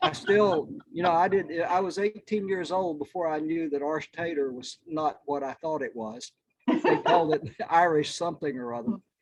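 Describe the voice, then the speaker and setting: Speaking at a moderate pace, a man with an Appalachian accent talks in a high pitch. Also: ordinary pitch variation. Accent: Appalachian US Southern. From North Carolina mountains. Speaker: book club member. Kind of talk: casual chat. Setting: outdoors on back porch, video call.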